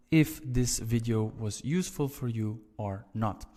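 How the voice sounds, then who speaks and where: The speaker is a man. He talks with a Flemish accent. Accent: Flemish Dutch. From Belgium (Flanders). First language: Dutch (Flemish). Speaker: language teacher. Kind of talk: tutorial.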